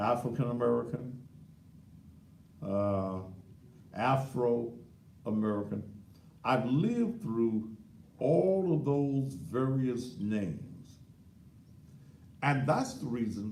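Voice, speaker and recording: Lively intonation runs through very slow speech full of long, frequent pauses, with audible room echo around it. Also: man, medium pitch for a man. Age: 60s. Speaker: talk show host. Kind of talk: live talk show monologue. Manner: animated.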